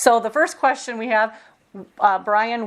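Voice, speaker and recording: Her voice is plain and everyday, with a fairly high pitch. The woman speaks at a fairly slow pace in an American accent. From Minnesota, US Midwest. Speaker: oral history interviewer. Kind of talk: oral history interview.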